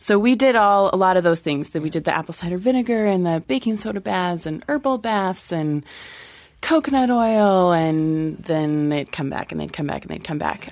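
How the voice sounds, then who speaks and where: Lively intonation from a woman in a normal speaking voice, medium in pitch, at a moderate pace. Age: 20s. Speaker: childbirth educator and doula. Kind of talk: casual panel discussion.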